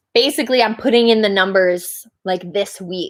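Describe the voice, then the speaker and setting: A woman speaks in an ordinary speaking voice at a medium pitch with fairly even intonation. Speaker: rock band member. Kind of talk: casual chat.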